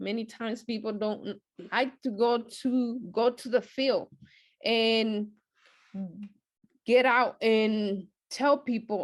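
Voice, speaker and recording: Fairly even intonation with a non-native accent, over a quiet background. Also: woman. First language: not English. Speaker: lay Bible study teacher. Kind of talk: short sermon at prayer meeting. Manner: hesitant, many fillers.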